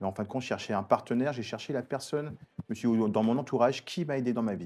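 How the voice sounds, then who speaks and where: The man's tone is dark and mellow. He speaks at a fairly quick pace with ordinary pitch variation. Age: 50s. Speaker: entrepreneur. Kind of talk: TV interview.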